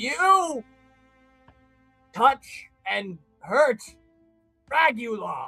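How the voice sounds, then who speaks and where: Faint music plays in the background under a fairly high, put-on character voice. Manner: slow, halting, distant, taking time to find words.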